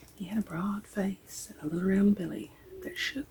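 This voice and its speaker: A soft-spoken voice at a moderate pace, with noticeable background noise behind it. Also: woman. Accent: Southern US. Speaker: ASMR reader. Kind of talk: ASMR story reading.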